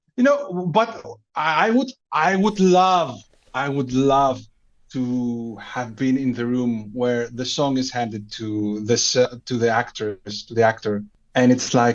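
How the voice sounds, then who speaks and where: This man speaks at a fairly slow pace with a Greek accent, his medium pitch moving with ordinary variation. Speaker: podcast guest. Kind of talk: casual chat. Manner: halting, repeats words.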